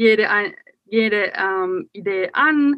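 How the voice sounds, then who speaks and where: A woman's fairly high voice, bright and sharp in tone, with lively intonation. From Finland. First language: Finnish (German as second mother tongue) (speaking German). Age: 30s. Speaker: magazine publisher. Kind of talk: casual interview chat. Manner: hesitant, many fillers.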